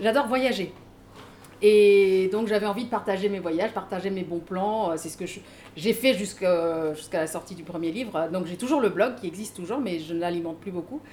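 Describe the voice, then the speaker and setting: At a moderate pace, a plain, everyday voice rises and falls with big swings in loudness. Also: woman, medium pitch for a woman, ordinary pitch variation. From Mauritius. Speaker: author and trainer. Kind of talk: casual panel talk at a book event.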